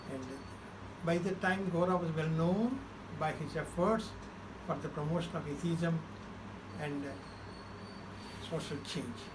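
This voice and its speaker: A man with a Telugu accent speaks at a fairly slow pace, using a high pitch and ordinary variation, with long, frequent pauses. The recording has audible room echo and noticeable background noise. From India, Andhra Pradesh (Krishna district). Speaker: social activist. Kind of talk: interview, life story. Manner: halting, many fillers.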